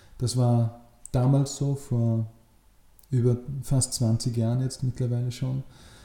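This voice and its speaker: A man speaks very slowly with long, frequent pauses, his voice somewhat breathy. His tone is dark and mellow, his intonation monotone and flat. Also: medium pitch for a man. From Upper Austria, rural. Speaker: political scientist. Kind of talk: interview. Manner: hesitant, many filler sounds.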